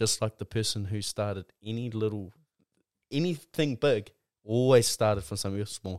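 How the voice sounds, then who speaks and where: With a New Zealand accent, a man with a fairly low pitch talks at a moderate pace with ordinary pitch variation on a very clean recording with a silent background. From New Zealand, Mount Maunganui, Tauranga. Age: 20s. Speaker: rugby player and clothing brand founder. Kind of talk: casual chat.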